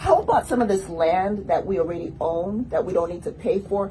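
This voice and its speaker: A woman at medium pitch speaks with an American accent. Noticeable background noise is present. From US, South Central Los Angeles. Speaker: political candidate. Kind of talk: radio interview. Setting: radio studio.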